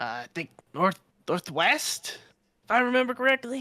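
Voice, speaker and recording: Here a man puts on a character voice. It sits at an extremely high pitch and keeps a moderate pace. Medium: actual play. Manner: gruff, haggling, rambling.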